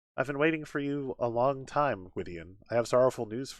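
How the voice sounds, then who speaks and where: Someone delivers a put-on character voice at a fairly quick pace. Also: man, medium pitch for a man. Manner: distant, solemn, sorrowful.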